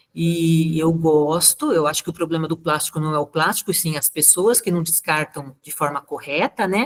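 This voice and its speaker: This woman has a plain, everyday voice with a fairly low pitch. She talks at a moderate pace with ordinary pitch variation. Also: dry, close sound with no echo. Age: 60s. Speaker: natural cosmetics maker presenting a talk. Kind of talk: casual chat.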